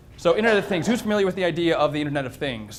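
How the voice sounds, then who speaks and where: A man talks with lively intonation. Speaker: tech presenter at a tent manufacturing company. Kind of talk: short tech presentation. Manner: fast.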